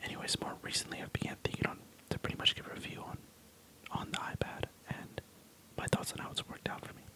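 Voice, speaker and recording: Whispering at a very fast pace, a man breaks off with long, frequent pauses. His loudness swings widely over noticeable background noise. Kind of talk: ASMR tech review talk. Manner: whispered.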